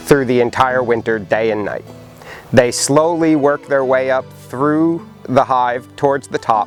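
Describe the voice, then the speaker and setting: Music plays in the background as a man with a medium pitch talks at a fairly slow pace with ordinary pitch variation. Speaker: beekeeping teacher. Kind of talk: class lecture.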